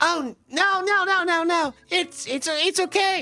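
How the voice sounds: Over faint music in the background, a put-on character voice with extremely high pitch moves at a fairly slow pace.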